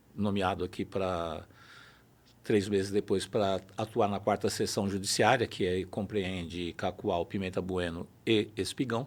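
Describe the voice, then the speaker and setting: At a moderate pace, a man talks in a normal speaking voice with a fairly low pitch and fairly even intonation. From São Paulo city, Brazil. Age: 60s. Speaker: judge. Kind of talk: interview.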